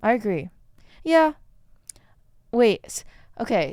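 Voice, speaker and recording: A woman speaks with a Chinese accent and ordinary pitch variation. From China. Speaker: podcast host. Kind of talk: casual chat. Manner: halting.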